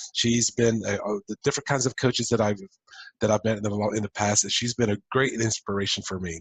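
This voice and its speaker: Speaking at a fairly quick pace, a man sounds somewhat breathy and keeps his intonation fairly even. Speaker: entrepreneur coach and podcast host. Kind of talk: podcast interview host.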